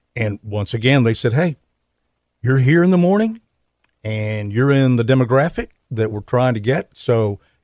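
A man with an American accent speaks in a plain, everyday voice at a moderate pace and medium pitch with ordinary pitch variation, the sound dry and close with no echo on a very clean recording with a silent background. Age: 60s. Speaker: former radio sports broadcaster. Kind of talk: interview. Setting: studio.

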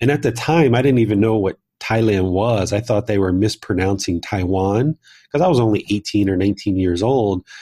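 A man with an American accent speaks at a moderate pace and a fairly low pitch, in a dark, mellow, somewhat breathy tone with ordinary pitch variation. The recording is very clean, with a silent background. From US, Southern Maryland. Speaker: meditation teacher and author. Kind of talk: interview conversation.

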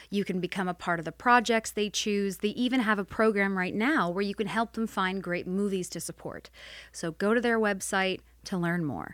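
On a very clean recording with a silent background, a woman speaks at medium pitch and a moderate pace in a normal speaking voice with ordinary pitch variation. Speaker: podcast co-host. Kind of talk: casual interview chat.

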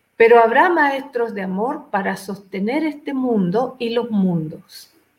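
A woman speaks at a very slow pace. Her high voice has lively intonation. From Chile. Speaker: spiritual teacher and author. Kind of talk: interview testimony.

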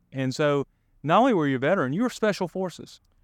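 A man speaks with a Southern US accent.

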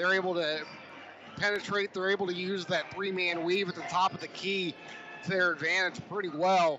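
Through noticeable background noise, a man with a high pitch and relaxed tone talks at a moderate pace in a monotone, flat intonation. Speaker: radio color analyst. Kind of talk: live radio game analysis, conversational commentary beside the play-by-play. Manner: relaxed and conversational, explaining plays with some hesitations and restarts.

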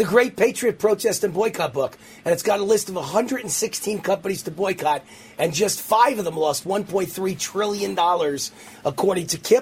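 High pitch from a man at a moderate pace, ordinary pitch variation, and noticeable background noise throughout. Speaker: radio host. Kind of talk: talk radio monologue with a sponsor pitch. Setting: studio. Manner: animated, emphatic.

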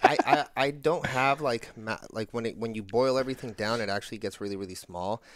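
In a very clean recording with a silent background, a man with an ordinary speaking voice and medium pitch talks at a fairly quick pace with ordinary pitch variation and hardly any pauses. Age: 30s. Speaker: marketing agency head and content creator. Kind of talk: casual interview chat. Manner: casual, filler-heavy speech.

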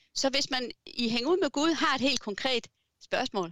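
A woman's voice is captured with a dry, close sound with no echo. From Southern Jutland, Denmark. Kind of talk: interview. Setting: video call. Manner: hesitant, many fillers.

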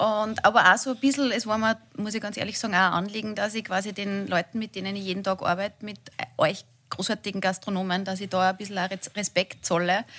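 Against noticeable background noise, a woman speaks at a fairly quick pace in a monotone, flat intonation. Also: medium pitch for a woman. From Linz, Upper Austria. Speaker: TV presenter. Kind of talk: casual chat.

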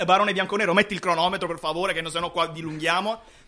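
A man speaks in a raised, projected voice with a bright, sharp tone that sounds animated. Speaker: football podcast host. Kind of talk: casual chat. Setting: studio.

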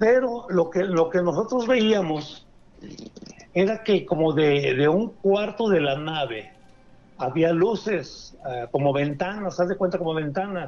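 Speaking very slowly, a man uses lively intonation at a high pitch. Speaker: caller. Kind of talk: phone-in storytelling. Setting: phone call.

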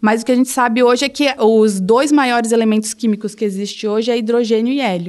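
A woman talks at a very fast pace with hardly any pauses. Her pitch is fairly high. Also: fairly even intonation. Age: 20s. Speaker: geologist. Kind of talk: casual science explanation.

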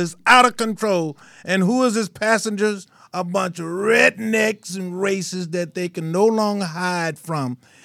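A raised, projected voice with an American accent carries a bright, sharp tone and big swings in loudness. Pitch variation is ordinary, and the recording is very clean with a silent background. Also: man. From US South, Mississippi. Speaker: radio talk show host. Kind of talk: casual chat. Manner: animated.

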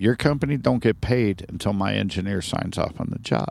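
Speaking with an American accent, a man uses lively intonation, vocal fry and a fairly low pitch at a moderate pace. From Ohio, US Midwest (Sharonville near Cincinnati). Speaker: podcast guest. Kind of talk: casual chat. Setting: recorded at his trailer.

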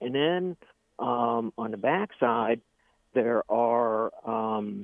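A man's medium-pitched voice with an American accent. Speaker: caller. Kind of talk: casual chat. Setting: phone call. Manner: halting.

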